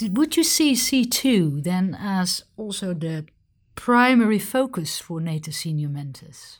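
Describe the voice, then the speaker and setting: Somewhat breathy and medium in pitch, a woman speaks at a fairly slow pace with very wide pitch swings, on a very clean recording with a silent background. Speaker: military officer interviewer. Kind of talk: interview.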